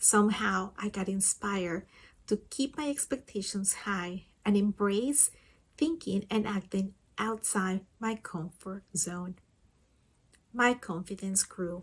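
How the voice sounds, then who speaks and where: A woman speaks at a very slow pace with a non-native accent. Her voice is somewhat breathy and medium in pitch. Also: ordinary pitch variation. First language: not English. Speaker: communication support partner. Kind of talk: scripted personal reflection.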